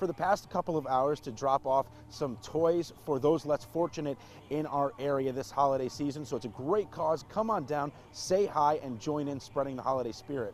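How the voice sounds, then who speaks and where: At a moderate pace, a man talks in an ordinary speaking voice, fairly high in pitch, with ordinary pitch variation. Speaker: TV sports anchor and reporter. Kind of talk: TV sports news anchor and reporter delivery.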